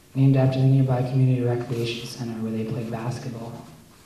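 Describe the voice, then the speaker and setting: A man talks with an American accent at a medium pitch. His intonation is monotone and flat, with noticeable background noise. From US Northeast, Philadelphia. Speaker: poet. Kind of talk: poetry reading. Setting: cafe reading with audience.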